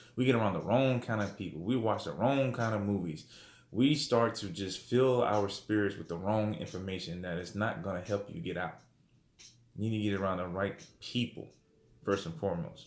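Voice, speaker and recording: A man's fairly low voice with audible room echo. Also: ordinary pitch variation. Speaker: religious teacher. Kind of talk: bible study lesson. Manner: fast.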